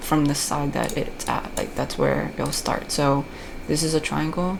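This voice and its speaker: In an American accent, a woman with a very deep, low pitch speaks with fairly even intonation, with audible room echo and noticeable background noise. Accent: American, thick (self-described jokingly). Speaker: video game guide creator. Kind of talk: commentated gameplay tutorial. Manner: casual, many fillers and restarts.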